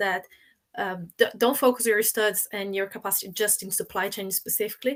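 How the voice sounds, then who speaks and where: A woman's medium-pitched voice with a Portuguese accent, monotone and flat in intonation, at a very fast pace. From Brazil. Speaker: supply chain professional. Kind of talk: panel discussion.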